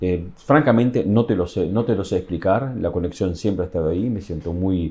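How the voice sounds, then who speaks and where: With a Uruguayan accent, a man speaks at a fairly quick pace in a very deep, low voice that is dark, mellow and somewhat breathy, using ordinary pitch variation. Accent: Uruguayan Spanish accent kept. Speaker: tourism communications official. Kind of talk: interview. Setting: office at workplace. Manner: halting, many fillers.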